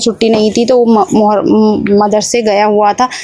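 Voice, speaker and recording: Noticeable background noise surrounds a woman speaking at a fairly high pitch. Her pace is moderate and her intonation fairly even. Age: adult, mother. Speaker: home cooking vlogger. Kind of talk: vlog voice-over with recipe tutorial. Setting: voice-over recording. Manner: halting.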